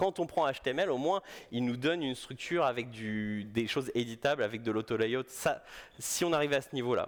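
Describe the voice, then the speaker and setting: The recording is very clean with a silent background, and the intonation is lively. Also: man. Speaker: UX designer, conference speaker. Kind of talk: conference talk. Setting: stage with audience. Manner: fast; casual, hesitant with repetitions.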